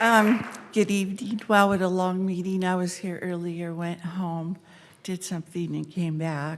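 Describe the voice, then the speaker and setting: At a fairly slow pace, a woman talks in an unremarkable speaking voice of medium pitch. Her intonation stays fairly even. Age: 60s. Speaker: public commenter. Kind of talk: public comment. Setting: city council meeting.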